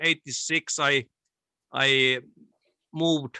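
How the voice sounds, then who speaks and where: A man with a Finnish accent speaks at a very slow pace in a bright, sharp tone, the sound dry and close with no echo. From Finland, Tampere area. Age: 60s. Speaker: interviewee. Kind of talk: interview. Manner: halting.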